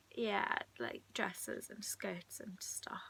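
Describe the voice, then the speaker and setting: A woman whispers at a very slow pace. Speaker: video blogger. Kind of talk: casual chat. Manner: soft-spoken; halting.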